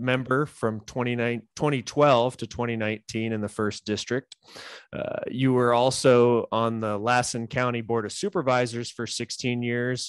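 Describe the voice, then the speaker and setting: In a dry, close sound with no echo, a man with an American accent speaks fairly slowly at a medium pitch in a normal speaking voice. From California. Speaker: podcast host. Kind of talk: interview.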